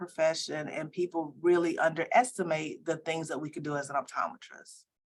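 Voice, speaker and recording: A woman with a plain, everyday voice and an American accent speaks at a fairly quick pace with a fairly low pitch. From US South, Columbia, South Carolina. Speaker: optometry school dean. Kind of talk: interview.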